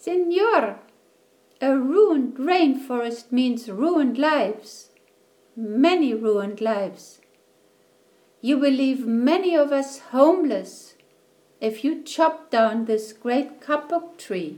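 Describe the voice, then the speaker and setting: A woman uses a put-on character voice that is squeaky and high-pitched. She talks at a fairly slow pace with long, frequent pauses. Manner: piping, pleading.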